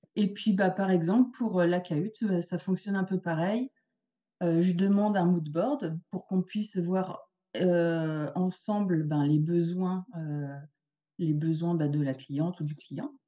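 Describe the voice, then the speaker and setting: A woman speaks very slowly in a fairly low pitch. Her tone is dark and mellow, with ordinary pitch variation. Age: 40s. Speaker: photo set designer and retoucher. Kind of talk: interview. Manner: hesitant, many fillers.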